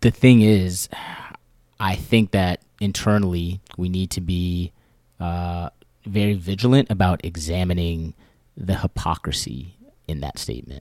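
On a very clean recording with a silent background, a man with an American accent speaks fairly slowly in a very deep, low, dark and mellow voice, his pitch varying in an ordinary way, with long, frequent pauses. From US, Maryland near DC. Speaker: podcast co-host. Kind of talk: casual discussion.

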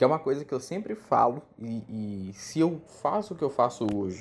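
The pace of this man's speech is moderate. Very wide swings run through his pitch. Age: 20s. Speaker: podcast host, English teacher. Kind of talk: solo casual podcast monologue.

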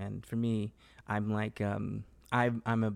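Flat and monotone, a man speaks at a fairly low pitch. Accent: Southern Californian. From Los Angeles, California. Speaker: actor. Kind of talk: casual interview chat.

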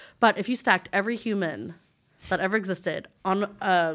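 An ordinary speaking voice from a woman with an American accent, medium in pitch, ordinary pitch variation, moderate pace, on a very clean recording with a silent background. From West Texas. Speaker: teacher, former florist shop worker. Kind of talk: casual chat.

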